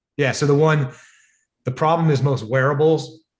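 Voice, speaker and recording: Against a quiet background, a man speaks in a somewhat breathy voice at a very fast pace. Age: 60s. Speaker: device developer and entrepreneur. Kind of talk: podcast interview. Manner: animated.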